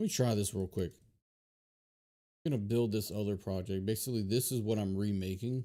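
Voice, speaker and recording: With an American accent, a man talks at a moderate pace and fairly low pitch, his tone dark and mellow and his intonation fairly even. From Louisiana, US South. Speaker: software developer streamer. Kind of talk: casual live coding stream. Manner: halting, many fillers.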